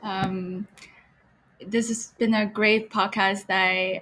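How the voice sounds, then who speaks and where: A woman speaks at a medium pitch with a somewhat breathy voice. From China, Beijing. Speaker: gallery co-founder and art historian. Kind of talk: podcast self-introduction.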